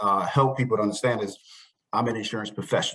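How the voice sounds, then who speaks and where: A man's medium-pitched voice with an American accent and monotone, flat intonation. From Brooklyn, New York. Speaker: insurance agent. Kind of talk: interview.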